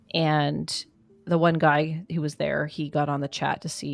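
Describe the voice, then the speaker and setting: A woman with a very deep, low pitch and fairly even intonation is heard on a very clean recording with a silent background. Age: 40s. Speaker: podcast co-host. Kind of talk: casual chat.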